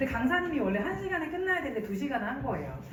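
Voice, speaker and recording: A woman speaks in an animated tone with very wide pitch swings. Audible room echo and noticeable background noise surround her. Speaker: network marketing speaker. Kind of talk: business presentation.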